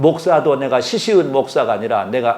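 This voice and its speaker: Audible room echo surrounds a man speaking in a fairly high pitch with lively intonation. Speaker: retired pastor, guest preacher. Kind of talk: sermon. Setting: church service with congregation.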